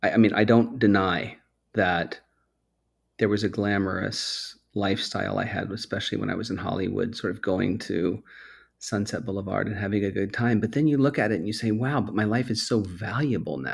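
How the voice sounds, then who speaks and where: In a very clean recording with a silent background, a man with a plain, everyday voice talks at a fairly quick pace, his fairly low pitch showing ordinary variation. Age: 40s. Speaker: podcast host in recovery. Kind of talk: interview, casual chat.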